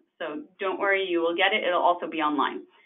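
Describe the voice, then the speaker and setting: A woman with a Canadian accent, an unremarkable speaking voice, lively intonation and a fairly quick pace. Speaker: webinar host, housing association programs director. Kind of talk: webinar closing remarks. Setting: online webinar.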